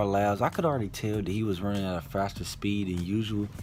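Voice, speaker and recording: There is audible room echo as a man with a fairly low pitch speaks at a moderate pace. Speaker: YouTube TV show reviewer. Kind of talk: casual video review.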